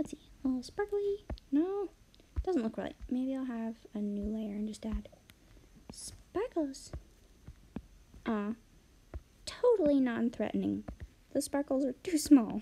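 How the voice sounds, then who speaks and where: Soft-spoken, a woman talks in a high pitch with a dark, mellow tone and very wide pitch swings. Her pace is fairly slow, with long, frequent pauses. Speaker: artist live-streaming drawing. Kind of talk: casual live-stream commentary while drawing. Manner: mumbling; quiet, soft-spoken.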